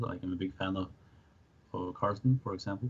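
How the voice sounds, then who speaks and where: A fairly low-pitched man's voice, somewhat breathy, at a very fast pace with fairly even intonation. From Norway, Oslo area. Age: 20s. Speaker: chess player and student. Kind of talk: interview. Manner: hesitant, many fillers.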